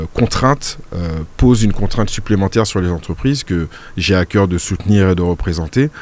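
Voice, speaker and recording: The man's voice is very deep and low. He talks at a moderate pace with ordinary pitch variation. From Martinique. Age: 40s. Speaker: local politician. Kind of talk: radio interview. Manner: hesitant, many fillers.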